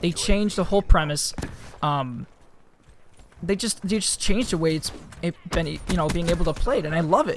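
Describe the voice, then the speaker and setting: At a fairly quick pace, a man speaks with a high pitch and lively intonation. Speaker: gaming youtuber. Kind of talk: gameplay commentary. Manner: halting, many fillers; casual.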